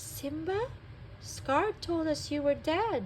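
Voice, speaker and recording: A female-sounding put-on character voice speaks at a high pitch and very slow pace over clear background noise. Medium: read story.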